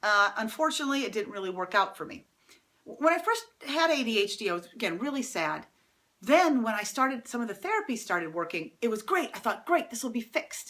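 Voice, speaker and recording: A woman speaks at a fairly quick pace in an animated, fairly high voice. Her pitch swings very widely. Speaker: middle school teacher. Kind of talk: personal testimony to students. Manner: fast.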